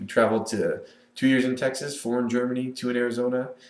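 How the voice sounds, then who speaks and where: A man talks at a very fast pace in a medium pitch. Audible room echo is present. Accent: American. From Northern California, US. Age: 20s. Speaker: Air Force member giving a personal video introduction. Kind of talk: personal monologue to webcam. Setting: recorded on webcam. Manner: casual, with many filler words.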